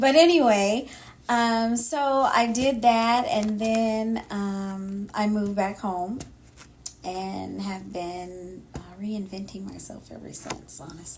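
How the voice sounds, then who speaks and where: A woman's medium-pitched voice with an American accent, very slow pace, ordinary pitch variation and big swings in loudness, plus audible room echo and noticeable background noise. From Sacramento, California. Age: 50s. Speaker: podcast co-host. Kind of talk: casual chat.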